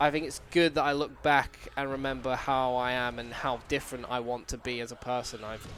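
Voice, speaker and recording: A man speaks at a fairly quick pace in a medium pitch with monotone, flat intonation. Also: hardly any pauses. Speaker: gaming youtuber. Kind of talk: casual vlog commentary. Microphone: good recording equipment.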